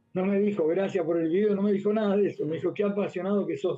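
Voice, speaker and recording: This is a man speaking with an Argentine accent. His intonation stays fairly even. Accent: Rioplatense Argentine Spanish. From Argentina, Buenos Aires (Floresta). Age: 60s. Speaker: physical education teacher. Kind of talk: radio interview.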